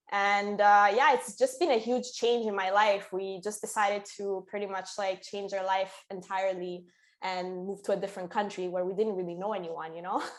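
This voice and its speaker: A woman speaks with an Italian accent at a medium pitch. Her moderate pace has hardly any pauses. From Italy, Sicily. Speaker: musician and concert promoter. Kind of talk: interview. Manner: casual, hesitant with fillers.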